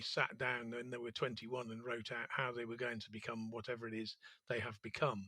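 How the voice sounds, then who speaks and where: A man with a London accent at a moderate pace and medium pitch, his tone bright and sharp, in a very clean recording with a silent background. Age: 60s. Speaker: entrepreneur. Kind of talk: interview. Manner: hesitant, with frequent fillers.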